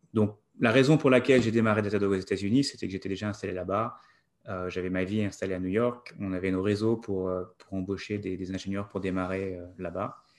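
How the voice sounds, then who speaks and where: Speech moves at a fairly quick pace with fairly even intonation. The background is quiet. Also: man, fairly low pitch for a man. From France. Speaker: tech company CEO and cofounder. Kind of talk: interview. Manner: halting, repeats words.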